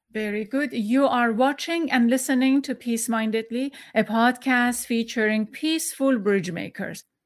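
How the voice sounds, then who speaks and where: Woman with a Persian accent, high pitch, ordinary pitch variation and a moderate pace. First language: Farsi. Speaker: podcast host. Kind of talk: interview. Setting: video call. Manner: halting.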